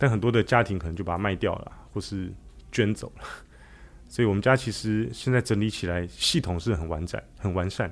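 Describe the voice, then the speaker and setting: Here is a man with a normal speaking voice and fairly low pitch. He talks at a fairly quick pace with ordinary pitch variation. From Taiwan, Taipei. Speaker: restaurateur and author. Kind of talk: interview.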